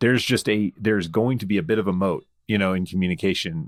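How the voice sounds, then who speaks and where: Fairly quick and fairly low, a man's voice comes through dry and close with no echo on a very clean recording with a silent background. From US South, Memphis. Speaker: podcast host. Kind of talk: casual interview chat.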